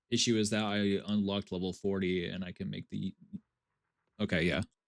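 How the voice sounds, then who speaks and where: A man's fairly low, monotone, flat voice at a fairly quick pace. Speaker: VTuber streamer. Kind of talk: live gameplay stream, chatting with viewers. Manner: halting, frequent fillers and restarts.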